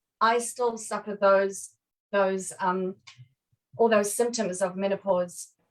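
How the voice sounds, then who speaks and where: A woman talks very slowly with long, frequent pauses. Her medium-pitched voice keeps a fairly even intonation. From South Africa. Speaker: health expert. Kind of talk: interview. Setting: live video stream.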